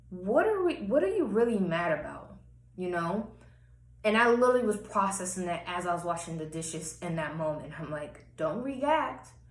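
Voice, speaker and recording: Her voice carries lively intonation at a medium pitch. The woman is recorded with audible room echo. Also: moderate pace. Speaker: personal vlogger. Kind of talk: personal testimony monologue.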